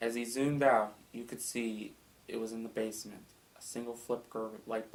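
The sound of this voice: With fairly even intonation, the reading voice stays unforced.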